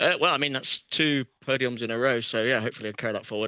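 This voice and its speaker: Very fast and fairly even in intonation, a man talks with an English accent. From England. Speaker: sim racing driver. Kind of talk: post-race interview. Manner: halting.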